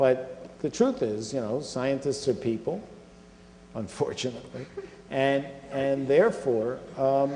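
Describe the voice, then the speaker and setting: Heard with audible room echo, a man speaks at a medium pitch. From US Northeast (Philadelphia). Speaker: scientific organization chief executive. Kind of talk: Q&A after a public lecture.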